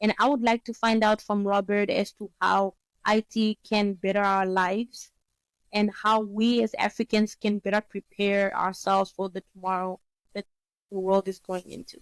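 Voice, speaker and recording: A woman speaks at a moderate pace with a Namibian accent, her pitch medium and her intonation flat and monotone. The sound is dry and close, with no echo. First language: Oshiwambo. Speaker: economist and business consultant. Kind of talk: interview.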